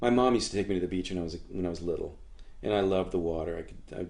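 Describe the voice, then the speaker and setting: This is a man talking. He speaks in an American accent. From Florida, US (Sarasota). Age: 60s. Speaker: surfboard builder and surfer. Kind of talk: oral history interview. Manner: animated.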